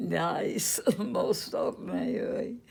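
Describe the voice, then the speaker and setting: A woman speaks with a Western US accent. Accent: American Western. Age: 80s+. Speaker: retired registered nurse. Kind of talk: interview answer.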